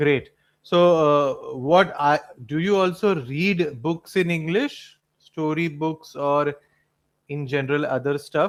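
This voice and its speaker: Using a Marathi accent, a man talks at a very slow pace in a fairly high pitch with ordinary pitch variation. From Mumbai, India. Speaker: English tutor. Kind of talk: casual chat.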